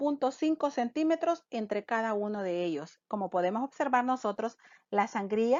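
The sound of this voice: The sound is dry and close with no echo as a woman speaks at a fairly high pitch. Her pace is fairly slow and her pitch variation is ordinary.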